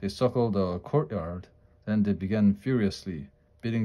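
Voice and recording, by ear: Here a text is read aloud in a natural voice. Ordinary variation shows in the pitch.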